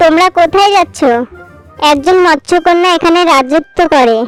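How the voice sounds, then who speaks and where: A cartoonish character voice at an extremely high pitch, with faint music in the background. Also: moderate pace. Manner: cautionary.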